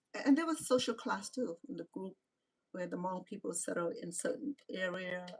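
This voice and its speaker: A somewhat breathy woman speaks at a moderate pace and medium pitch with lively intonation and long, frequent pauses, the sound dry and close with no echo. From Cambodia. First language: Khmer. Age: 60s. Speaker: reality show personality and vlogger. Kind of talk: live-stream monologue. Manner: halting, frequent repetitions.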